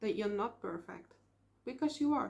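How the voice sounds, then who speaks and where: A woman with a Dutch accent speaks in a high pitch with lively intonation. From Netherlands. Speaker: vlogger. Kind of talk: casual vlog monologue. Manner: hesitant, with filler ums.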